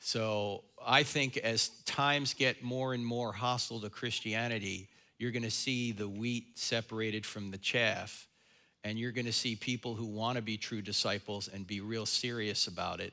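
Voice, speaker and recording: A man in a New Jersey accent speaks at a moderate pace and medium pitch with monotone, flat intonation, in a very clean recording with a silent background. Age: 60s. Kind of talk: lecture and Q&A at church event. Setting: church stage with audience.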